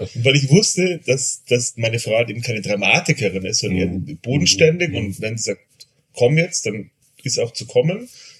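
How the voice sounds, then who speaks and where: With lively intonation and a somewhat breathy, medium-pitched voice, a man speaks at a moderate pace. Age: 40s. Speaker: father of two. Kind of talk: casual chat.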